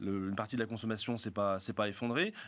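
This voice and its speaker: Very fast pace from a man. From Lyon, France; France. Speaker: economics professor. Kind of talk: panel discussion. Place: studio. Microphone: studio mic.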